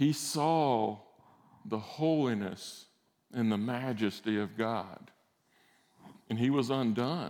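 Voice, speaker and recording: A man talks at a very slow pace with long, frequent pauses and ordinary pitch variation, in a Southern US accent. Audible room echo surrounds his voice. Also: medium pitch for a man. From Alabama, US South. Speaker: guest preacher, former military flight instructor. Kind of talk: sermon. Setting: church service.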